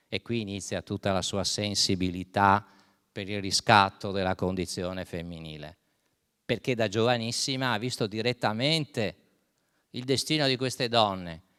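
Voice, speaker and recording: In a very clean recording with a silent background, a man speaks at a moderate pace, fairly low, with ordinary pitch variation. His tone is bright and sharp, and the sound is dry and close with no echo. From Venice, Italy. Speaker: historian. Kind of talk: lecture.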